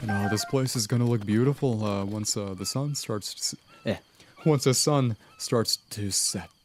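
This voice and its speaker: With music in the background, a man talks at a medium pitch and a moderate pace with ordinary pitch variation. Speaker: gaming streamer. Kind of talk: live gameplay commentary. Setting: live stream. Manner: halting, repeats words.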